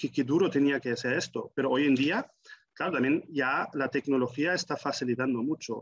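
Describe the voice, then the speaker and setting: Here a man speaks with a German accent. His pitch is fairly high and his intonation fairly even. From Germany. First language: German (speaking Spanish). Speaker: forestry association professional. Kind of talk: interview.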